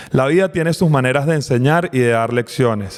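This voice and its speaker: Speaking with a Caracas Venezuelan accent, a man moves at a fairly quick pace at medium pitch. Pitch varies in an ordinary way, and background noise is noticeable. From Venezuela, raised in Caracas. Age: 40s. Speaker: podcast co-host, politician. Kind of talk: casual conversation.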